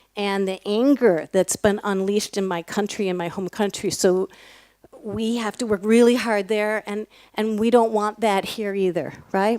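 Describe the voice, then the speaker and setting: A woman with an American accent has a normal speaking voice. Her pitch is fairly high, with ordinary pitch variation. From United States. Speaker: nonprofit program leader. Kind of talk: ceremony speech.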